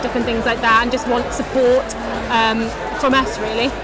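The speech moves at a fairly quick pace with a dry sound and no echo. Clear music plays in the background. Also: woman. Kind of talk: interview answer. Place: hall.

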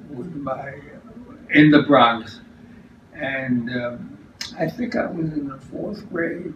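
At a very slow pace, a man with a New York accent speaks amid audible room echo and light background noise. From New York City. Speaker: retiree recalling childhood. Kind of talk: interview answer. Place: kitchen. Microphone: camera far.

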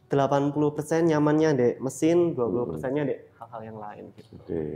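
With an East Javanese accent, a man speaks at a very slow pace in a fairly high pitch, his intonation fairly even. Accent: East Javanese Indonesian. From Blitar, East Java, Indonesia; East Java, Indonesia. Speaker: coffee shop owner; guest. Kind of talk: casual interview chat. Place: cafe. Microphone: lapel.

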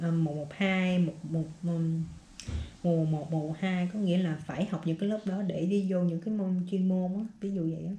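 Fairly low, somewhat breathy woman's voice, dark and mellow, fairly even in intonation, fairly slow, with audible room echo. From Vietnam. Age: 20s. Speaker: vlogger, student in US. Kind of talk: casual vlog monologue. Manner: casual, conversational. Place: home room. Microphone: phone near.

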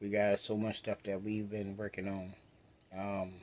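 A man speaks at a fairly slow pace in a fairly low, flat monotone over light background noise. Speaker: vlogger. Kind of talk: casual vlog chat. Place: home room. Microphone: phone near.

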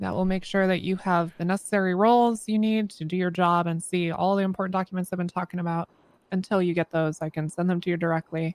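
Very fast and flat, a woman's fairly low voice comes across in a monotone with a dry sound and no echo. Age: 30s. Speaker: roleplay player (police officer character); streamer voicing a roleplay police officer. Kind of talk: in-character roleplay. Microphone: headset.

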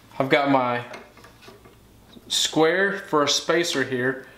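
A man speaks in a fairly bright tone with ordinary pitch variation, and strong room echo surrounds him.

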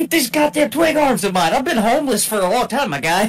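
Over clear background noise, a put-on character voice speaks fairly quickly at a fairly high pitch. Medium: actual play. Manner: profane, sarcastic.

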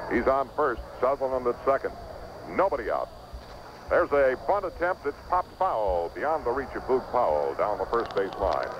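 A man speaks at a moderate pace, his voice dry with no echo over noticeable background noise. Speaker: baseball radio broadcaster. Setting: ballpark press box, live radio. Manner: brisk, animated play-by-play delivery with conversational asides. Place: booth. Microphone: old recording.

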